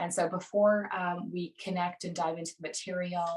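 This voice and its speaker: A somewhat breathy woman's voice with an American accent. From United States. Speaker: stepfamily coach co-host. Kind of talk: live webinar presentation. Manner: animated.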